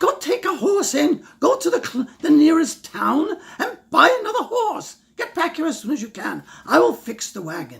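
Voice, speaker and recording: At a moderate pace, a man speaks in an extremely high pitch as a put-on character voice. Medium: read story. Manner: gruff.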